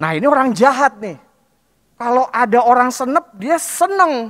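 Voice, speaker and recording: Speaking at a fairly slow pace with lively intonation, a man with a Jakarta accent has an extremely high pitch. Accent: Betawi. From Jakarta, Betawi area (Palmerah). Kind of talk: sermon. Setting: church. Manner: casual, conversational.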